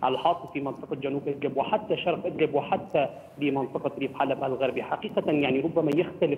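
The speaker talks at a fairly quick pace with hardly any pauses. Pitch varies in an ordinary way over light background noise. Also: man. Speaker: field news reporter. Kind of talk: live news report. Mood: somber. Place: street. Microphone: handheld.

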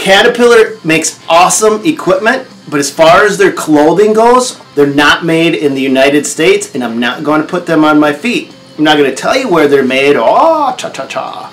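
A man keeps a moderate speed, and his intonation is lively. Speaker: contractor reviewing boots. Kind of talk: casual vlog chat. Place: office.

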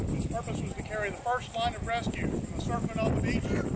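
Loud background noise surrounds speech delivered at a fairly quick pace. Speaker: historical reenactor demonstrating a drill. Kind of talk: public demonstration narration. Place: open country.

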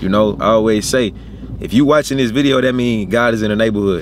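A man talking at a very fast pace with ordinary pitch variation, dry with no echo, over loud background noise. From US South, Arkansas. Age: 20s. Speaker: YouTuber; vlogger. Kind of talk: casual vlog. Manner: animated. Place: car. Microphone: phone near.

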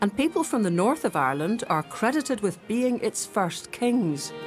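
With music in the background, a woman at a medium pitch moves through very wide pitch swings at a moderate pace and very even loudness. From Scotland. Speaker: journalist. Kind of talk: documentary narration.

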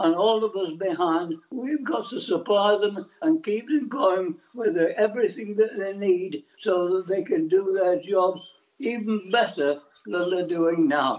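Speaking with an English accent, a man has a high pitch and lively intonation. His pace is fairly slow. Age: 80s+. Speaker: army veteran. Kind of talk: news interview answer.

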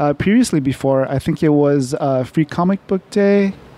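A man with a fairly high pitch, ordinary pitch variation and a normal speaking voice, in a dry sound with no echo. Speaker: podcast co-host. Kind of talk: casual interview. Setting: on location at comic coffee shop. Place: cafe.

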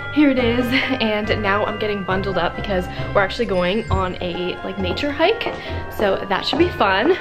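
A woman talks at a moderate speed while music plays clearly behind her. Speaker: vlogger. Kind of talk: casual vlog chat. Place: home room. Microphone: phone near.

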